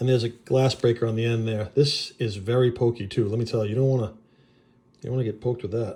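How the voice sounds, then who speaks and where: This man has a New England accent, a medium pitch and a somewhat breathy voice. He talks at a very fast pace on a very clean recording with a silent background. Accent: New England, noticeable. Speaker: knife reviewer. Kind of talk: product review. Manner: casual, enthusiastic.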